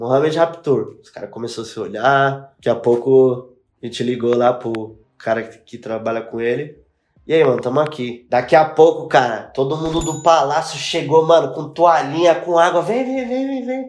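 With ordinary pitch variation and a fairly high pitch, a man speaks at a moderate pace in an ordinary speaking voice. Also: big swings in loudness. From São Paulo east zone, Brazil. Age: 20s. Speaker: music video director. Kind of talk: casual chat.

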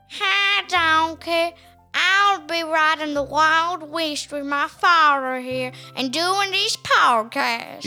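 In a put-on character voice with a western US accent, a high-pitched speaker talks at a very slow pace as faint music plays in the background. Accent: western cowboy. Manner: playful, comedic.

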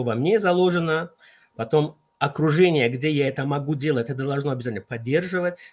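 Speaking at a moderate pace, a man has an ordinary speaking voice, a fairly high pitch and ordinary pitch variation. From Central Asia. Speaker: consultant on team competencies. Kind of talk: online radio talk.

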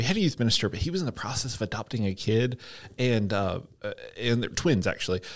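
A man at medium pitch with a Southern US accent, very fast pace and lively intonation, in a very clean recording over a silent background. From US South, Georgia (Hampton, south of Atlanta). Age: 30s. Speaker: church staff member. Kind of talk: casual interview.

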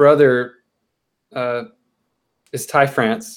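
In a Californian accent, a man talks at a very slow pace. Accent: General American (Californian). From Southern California, Chino Hills. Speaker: theme park worker and sports fan. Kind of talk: casual chat.

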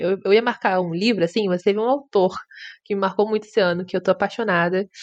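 The woman's pitch sits at a medium level and varies in an ordinary way. She talks at a very fast pace. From Brazil, Rio de Janeiro. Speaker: podcast co-host. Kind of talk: casual chat. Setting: virtual call.

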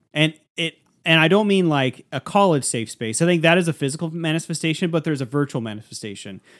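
In a very clean recording with a silent background and a dry, close sound with no echo, a man with an ordinary speaking voice and fairly high pitch speaks with lively intonation. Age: 30s. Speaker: podcast co-host. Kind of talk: casual chat.

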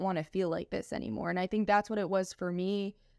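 In a very clean recording with a silent background, a woman talks in a normal speaking voice at a medium pitch. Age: 20s. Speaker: nutrition coach. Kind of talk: casual interview chat.

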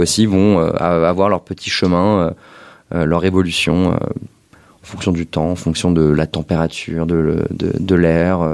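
The man's pitch is very deep and low. He talks at a fairly slow pace. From Paris. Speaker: visual artist. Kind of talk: interview conversation. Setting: artist studio.

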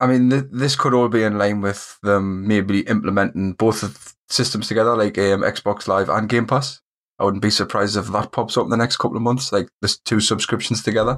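Speaking at a fairly quick pace with a Geordie accent, the voice holds a very even loudness on a very clean recording with a silent background. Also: man, fairly low pitch for a man, fairly even intonation. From northern England, Newcastle area. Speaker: gaming podcast co-host. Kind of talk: casual chat.

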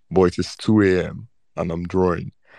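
Someone speaks at a fairly slow pace, the sound dry and close with no echo and a quiet background. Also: man. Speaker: digital artist. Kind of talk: casual chat. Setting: audio chat room.

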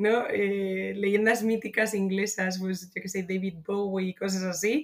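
It is a plain, everyday voice: a woman at medium pitch. She speaks at a fairly slow pace with fairly even intonation. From Spain, Madrid. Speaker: marketing manager. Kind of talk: casual interview.

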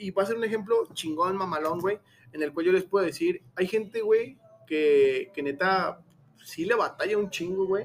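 A man with a high pitch and ordinary pitch variation keeps a moderate pace. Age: 20s. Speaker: podcast host. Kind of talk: casual chat. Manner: animated.

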